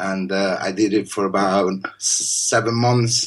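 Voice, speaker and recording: A man with a Spanish accent speaks in fairly even intonation. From Spain. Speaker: poet. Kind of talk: casual interview conversation.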